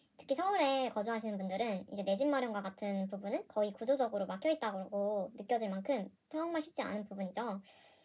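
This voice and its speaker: A woman speaks fairly quickly in a somewhat breathy voice with a fairly high pitch and ordinary pitch variation. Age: 20s. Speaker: personal finance youtuber, office worker. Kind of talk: casual vlog monologue. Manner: hesitant, with fillers and self-corrections.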